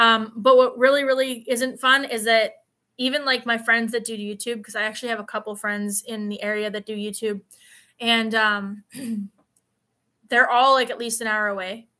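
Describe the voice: A woman speaks at a moderate pace in a bright, sharp tone. Her fairly high voice shows little pitch movement.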